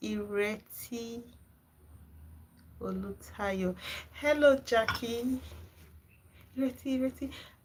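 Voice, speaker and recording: A woman in a Nigerian accent, fairly high-pitched and very slow, with ordinary pitch variation and long, frequent pauses. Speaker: gardening channel host. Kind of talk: live stream chat with viewers. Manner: animated.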